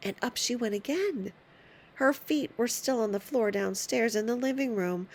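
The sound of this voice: Pitch moves in an ordinary way through what is an unforced reading voice.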